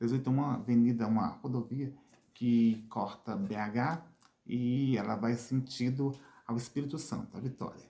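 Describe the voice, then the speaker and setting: A somewhat breathy voice with a dark, mellow tone. It moves at a moderate pace with ordinary pitch variation. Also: man. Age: 50s. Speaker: vlogger, wheelchair user. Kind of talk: channel call to action; personal testimony. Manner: halting, repetitive.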